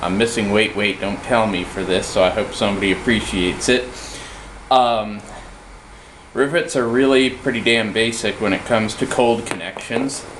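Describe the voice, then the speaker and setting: Noticeable background noise accompanies a man's voice. He speaks at medium pitch and a moderate pace. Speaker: metalworker. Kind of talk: casual workshop tutorial to camera. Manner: hesitant, halting.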